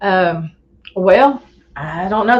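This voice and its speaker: Her voice at medium pitch, a woman talks with a Southern US accent. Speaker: Bigfoot researcher. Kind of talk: casual interview chat.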